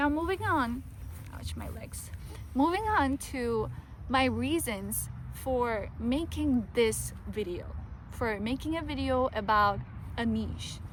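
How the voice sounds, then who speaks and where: With a non-native accent, a woman talks at a very slow pace with long, frequent pauses, and audible room echo can be heard. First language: not English. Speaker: YouTuber. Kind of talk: casual vlog talk to camera. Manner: halting, with restarts.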